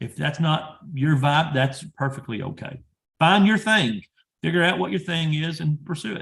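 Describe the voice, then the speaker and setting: A man with a normal speaking voice, fairly high in pitch, at a moderate pace and with lively intonation. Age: 30s. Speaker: industry professional and PhD student. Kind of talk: career advice talk.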